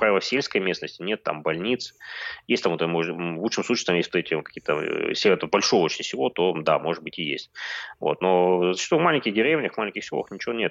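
With a very deep, low pitch and lively intonation, a man talks very fast in a dry, close sound with no echo. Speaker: blogger and demography expert. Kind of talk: casual live-stream interview.

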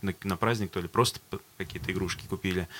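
A man talks in a fairly low pitch. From Astrakhan, Russia. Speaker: band vocalist. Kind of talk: casual interview chat. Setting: studio.

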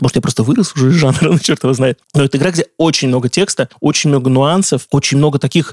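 Very fast speech in a dry, close sound with no echo. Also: man. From Russia, Saratov. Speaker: video game journalist and editor. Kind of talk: casual interview. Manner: animated.

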